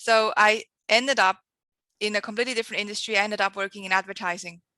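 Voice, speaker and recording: A woman's medium-pitched voice with a strong Swiss accent, bright, sharp tone and fairly even intonation, dry and close with no echo against a quiet background. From Switzerland. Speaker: marketing agency founder, entrepreneur. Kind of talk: podcast interview.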